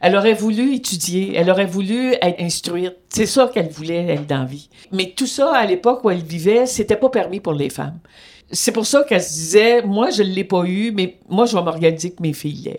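A woman speaks with an ordinary speaking voice. Her moderate pace carries lively intonation. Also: medium pitch for a woman. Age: 60s. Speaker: retired feminist activist, host's mother. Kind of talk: interview testimony.

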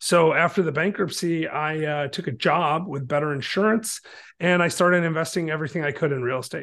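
In an unremarkable speaking voice with an American accent, someone talks at a fairly quick pace with ordinary pitch variation against a quiet background. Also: man, fairly high pitch for a man. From Michigan, near Detroit. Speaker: real estate investor and author. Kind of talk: casual interview chat.

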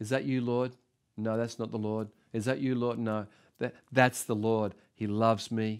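The voice moves at a moderate pace with an animated tone, recorded very cleanly against a silent background. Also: man. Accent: Australian. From Australia (Sydney). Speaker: pastor. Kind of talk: sermon.

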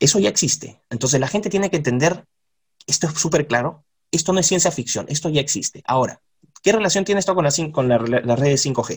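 Somewhat breathy, a man speaks fairly quickly in a fairly high pitch with lively intonation. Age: 40s. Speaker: university professor. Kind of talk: interview.

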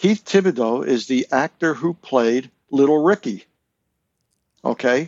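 A man with an American accent, fairly high pitch, lively intonation and a very slow pace. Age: 60s. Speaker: author and longtime fan. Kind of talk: casual chat.

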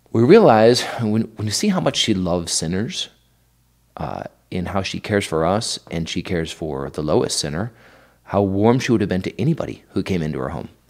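A man with an American accent and a normal speaking voice, fairly low in pitch, at a fairly quick pace with lively intonation. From Idaho. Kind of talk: casual interview on faith and family life.

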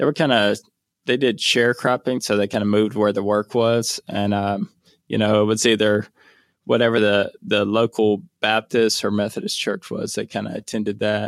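A fairly low-pitched man at a moderate pace with fairly even intonation, dry and close with no echo on a very clean recording with a silent background. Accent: Louisiana. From northeast Louisiana, US South. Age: 30s. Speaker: missionary. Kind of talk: interview.

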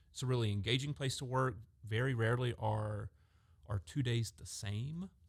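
At a medium pitch and with ordinary pitch variation, a man speaks at a moderate pace in a somewhat breathy voice. The recording is very clean, with a silent background. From Georgia, Augusta. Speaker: HR deputy director. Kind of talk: podcast panel discussion.

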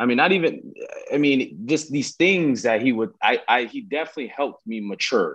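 Lively intonation and vocal fry mark a man's fairly high-pitched voice at a fairly quick pace. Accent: American. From Southern California. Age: 20s. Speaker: professional football player. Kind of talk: casual interview.

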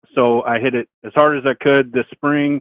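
A man of medium pitch speaks with a Southern US accent. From Arkansas, lives in Indiana. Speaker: caller. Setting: phone call.

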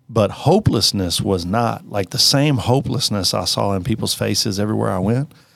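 His fairly low voice carries vocal fry and ordinary pitch variation as the man speaks. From rural Kentucky. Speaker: pastor. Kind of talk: casual interview.

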